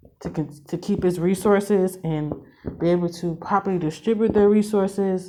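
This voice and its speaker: Noticeable background noise sits behind a woman speaking at a moderate pace, with a fairly low pitch and ordinary pitch variation. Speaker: spiritual reader. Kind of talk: spiritual reading monologue. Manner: halting, self-correcting.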